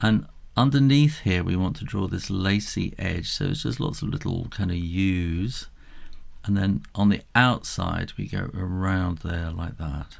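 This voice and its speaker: Lively in intonation, a man with a very deep, low voice talks at a fairly slow pace. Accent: British. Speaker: drawing tutor. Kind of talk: tutorial. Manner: casual.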